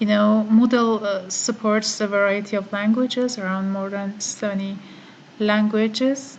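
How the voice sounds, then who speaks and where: The speaker has an Iranian accent and a flat, monotone intonation. Noticeable background noise runs underneath. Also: woman, fairly high pitch for a woman, moderate pace. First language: Farsi. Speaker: online course participant. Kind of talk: screen-recorded tutorial. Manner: halting, many fillers.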